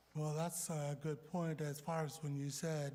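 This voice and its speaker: A man's fairly high, somewhat breathy voice at a fairly slow pace, with monotone, flat intonation. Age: 60s. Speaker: city council member. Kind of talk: heated debate. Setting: council chamber.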